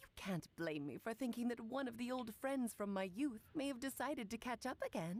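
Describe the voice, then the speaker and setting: A female-sounding put-on character voice, fairly high in pitch, moves at a fairly quick pace with hardly any pauses. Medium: video game. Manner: theatrical, coy.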